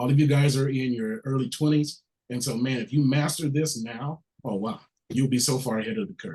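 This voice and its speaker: Somewhat breathy, a man speaks at a fairly quick pace with a medium pitch and ordinary pitch variation. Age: 50s. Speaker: workshop host. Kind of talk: workshop moderation.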